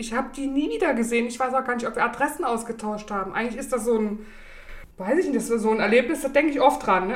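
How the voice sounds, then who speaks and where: Speech comes at a very fast pace, with noticeable background noise and audible room echo. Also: woman. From East Germany, Saxony (Bischofswerda). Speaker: self-employed coach, podcast guest. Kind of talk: casual interview chat.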